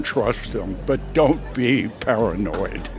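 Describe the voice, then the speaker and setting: With music in the background, a man with an American accent talks at a very slow pace. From Syracuse, New York. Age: 80s+. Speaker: interviewee. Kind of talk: street interview.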